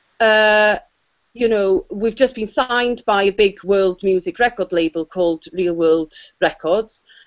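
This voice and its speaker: This woman has a Welsh accent and a medium pitch with ordinary pitch variation. She talks at a fairly slow pace. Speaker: musician and actor. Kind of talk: panel discussion. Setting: video call. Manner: halting.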